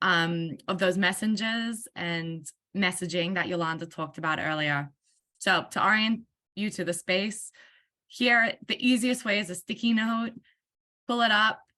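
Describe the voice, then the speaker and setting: Against a quiet background, a woman with an Australian accent and a medium pitch talks at a fairly slow pace, her tone bright and sharp and her pitch varying in an ordinary way. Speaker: workshop facilitator. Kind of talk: online meeting facilitation.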